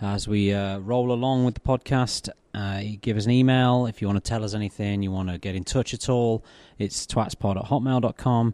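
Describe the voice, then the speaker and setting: A man speaks at a moderate pace with a medium pitch and a dark, mellow tone. His intonation is fairly even, and the sound is dry and close with no echo over a quiet background. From Scotland, Glasgow. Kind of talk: interview.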